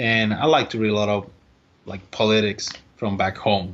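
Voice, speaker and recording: With a Spanish accent, a man talks in a fairly low pitch using fairly even intonation. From Puerto Rico. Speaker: baseball strength and conditioning coach. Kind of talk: podcast interview. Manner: halting.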